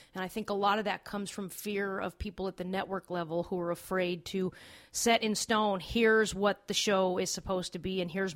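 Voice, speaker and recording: A medium-pitched woman at a moderate pace, flat and monotone in intonation, with hardly any pauses. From Los Angeles, US. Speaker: TV producer. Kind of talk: casual chat.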